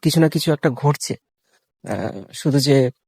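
A man with fairly high pitch and fairly even intonation has an unremarkable speaking voice. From Sundarbans, West Bengal. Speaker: travel vlogger. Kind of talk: vlog narration. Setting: outdoors.

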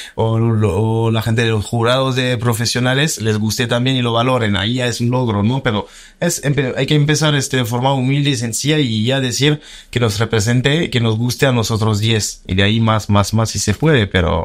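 A man's medium-pitched voice at a moderate pace, with fairly even intonation, very even loudness and a quiet background. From France. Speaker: filmmaker; guest. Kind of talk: interview. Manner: halting. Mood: relaxed, thoughtful. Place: studio. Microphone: studio mic.

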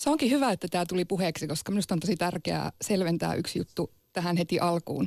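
A woman talks very fast at a fairly low pitch with vocal fry, ordinary pitch variation and very even loudness. The background is quiet and the sound is dry with no echo. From Sámi region, northern Finland; northern Finland. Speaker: Sámi activist. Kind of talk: radio debate. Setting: studio. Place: studio.

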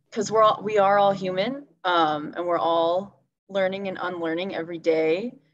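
A woman speaks at a moderate pace with ordinary pitch variation. Light background noise can be heard. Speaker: environmental activist, council co-president; panelist. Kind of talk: panel discussion. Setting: video call. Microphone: video call.

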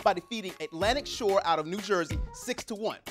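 A man speaks at a moderate pace over clear background music. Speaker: TV sports anchor. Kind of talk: news presentation. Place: studio. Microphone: lapel.

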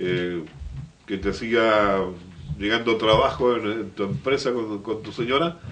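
Lively intonation marks this man's fairly low voice, which moves at a very slow pace. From Biobío, Chile. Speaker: local radio/TV program host; local radio, TV program host. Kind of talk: interview talk show. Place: studio.

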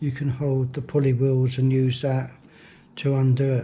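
A dark, mellow, somewhat breathy voice. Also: man. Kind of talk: tutorial. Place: workshop.

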